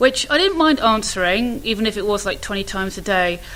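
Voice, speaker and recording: With an English accent, a woman speaks in a bright, sharp tone with ordinary pitch variation. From England. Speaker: potter. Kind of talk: casual chat.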